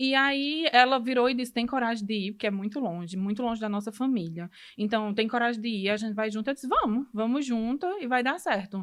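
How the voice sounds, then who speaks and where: A woman talks at a fairly quick pace with a Ceará accent and hardly any pauses. Her pitch is fairly high, with ordinary variation. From Brazil, Ceará. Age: 30s. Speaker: medical student. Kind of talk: podcast interview, personal story.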